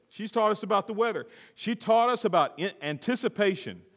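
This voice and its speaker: Male voice with vocal fry at a moderate pace, in a very clean recording with a silent background. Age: 50s. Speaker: pastor. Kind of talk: sermon.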